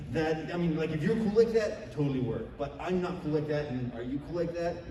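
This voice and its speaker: The voice shows ordinary pitch variation, with audible room echo and noticeable background noise. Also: man. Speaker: convention panelist. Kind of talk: convention panel talk. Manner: loud.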